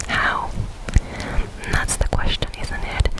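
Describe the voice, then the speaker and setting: Someone whispers over noticeable background noise. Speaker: ASMR creator. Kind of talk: bedtime story reading of game dialogue. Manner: whispered. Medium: read story.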